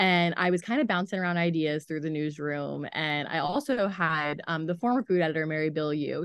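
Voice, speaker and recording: A woman's very deep, low-pitched voice with a Midwestern American accent. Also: quiet background. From US Midwest, southern Ohio (Chillicothe). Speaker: newspaper food editor. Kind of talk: casual interview.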